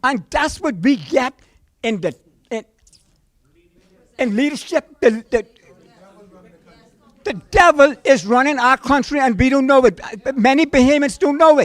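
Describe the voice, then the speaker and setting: The speaker moves at a fairly slow pace with lively intonation and long, frequent pauses. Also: man, extremely high pitch for a man. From Bahamas. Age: 60s. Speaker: audience member at town hall. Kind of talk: impassioned public speech. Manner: animated, forceful; halting, repeats words.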